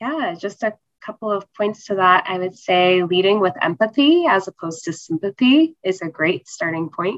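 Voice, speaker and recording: An ordinary speaking voice from a woman with an American accent, medium in pitch, moderate in pace, with lively intonation. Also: hardly any pauses. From North Carolina, US. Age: 20s. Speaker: cancer survivor and nonprofit founder. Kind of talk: interview.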